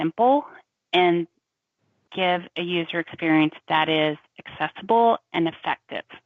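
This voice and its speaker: Using a Southern US accent, a woman speaks at a fairly slow pace and a fairly low pitch with ordinary pitch variation. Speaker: cloud solution architect. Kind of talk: tech discussion.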